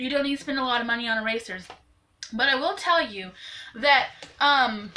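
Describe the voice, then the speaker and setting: Amid noticeable background noise, a woman with an American accent speaks at a moderate pace in a high pitch. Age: 20s. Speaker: YouTuber, amateur artist. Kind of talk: tutorial. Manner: casual, chatty with fillers.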